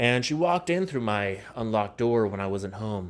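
The voice moves at a moderate pace, animated and quiet, with lively intonation. The recording is very clean with a silent background. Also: man. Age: 30s. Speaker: comedian and podcast host. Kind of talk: casual solo podcast monologue. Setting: home recording. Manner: quiet, like telling a secret; animated, stumbling over words.

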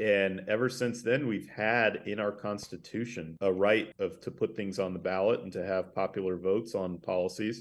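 In a quiet background, a man with an American accent and a plain, everyday voice speaks at a moderate pace with a fairly low pitch, ordinary pitch variation and hardly any pauses. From northern Idaho, US. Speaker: grassroots organizer, nonprofit director. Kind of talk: interview.

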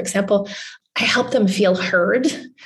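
A somewhat breathy woman at a medium pitch, fairly quick in pace, with fairly even intonation. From Newfoundland, Canada. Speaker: journalist. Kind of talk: interview.

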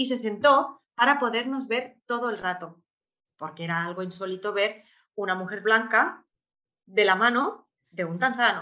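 A woman's voice with lively intonation. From Spain. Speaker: expat mother and traveller. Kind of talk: interview.

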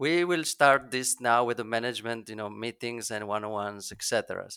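A man's bright, sharp voice on a very clean recording with a silent background, with a dry, close sound and no echo. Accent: Italian. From Italy. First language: Italian. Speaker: SEO consultant. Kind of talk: interview.

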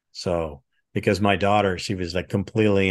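A man speaks in a very deep, low voice with a monotone, flat delivery against a quiet background. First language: French. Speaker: retired military intelligence officer, trainer. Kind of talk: interview.

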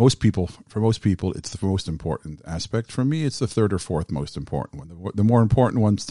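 Very fast male speech in an American accent, fairly low in pitch, with a dry, close sound, no echo and a quiet background. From US Midwest (Southfield, Michigan). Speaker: cantor. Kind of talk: interview.

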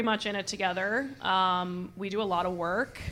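Moderate-paced speech from a woman with an American accent. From US Northeast, Massachusetts South Shore. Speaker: fitness coach and social media creator. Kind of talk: podcast interview. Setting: in a gym.

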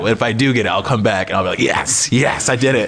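Talking very fast with an American accent, a man comes through over noticeable background noise. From US Midwest, Wisconsin (Appleton). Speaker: magician and comedian. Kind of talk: casual chat.

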